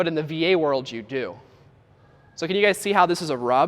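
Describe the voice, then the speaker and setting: Animated and lively in intonation, a man talks with a high pitch. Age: 20s. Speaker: real estate coach and business founder. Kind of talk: seminar talk. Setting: stage with audience.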